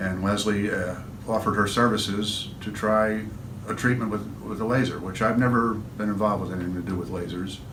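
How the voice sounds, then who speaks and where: With an American accent and a fairly low pitch, a man talks over noticeable background noise and audible room echo. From upstate New York. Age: 60s. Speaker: patient and musician. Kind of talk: testimony. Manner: halting.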